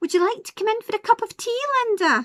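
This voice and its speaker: A woman's squeaky, put-on character voice at an extremely high pitch and very fast pace, with big swings in loudness, in a dry, close sound with no echo. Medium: read story.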